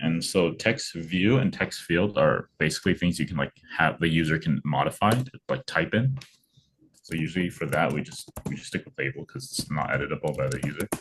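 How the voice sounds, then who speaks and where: With lively intonation and vocal fry, a man talks in a very deep, low pitch. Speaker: coding tutor. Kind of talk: tutorial. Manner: casual, hesitant with fillers.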